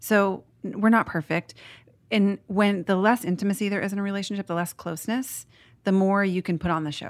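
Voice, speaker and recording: In a very clean recording with a silent background, a woman with an ordinary speaking voice talks at a fairly quick pace and medium pitch, her intonation fairly even. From Portland, Oregon, US. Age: 30s. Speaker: author. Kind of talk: casual chat.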